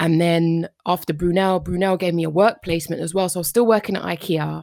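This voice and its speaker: Delivered at a fairly quick pace, the speech has fairly even intonation and a London accent. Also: woman. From Northwest London. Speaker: psychotherapist. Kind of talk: interview.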